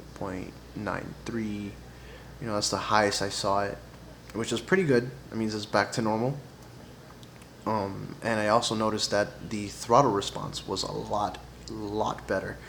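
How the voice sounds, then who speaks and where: In a room with audible echo, a man speaks quietly at a fairly low pitch and moderate pace, his intonation fairly even and broken by long, frequent pauses. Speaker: car enthusiast vlogger. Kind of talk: casual tutorial vlog. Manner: quiet, low voice; hesitant, many fillers.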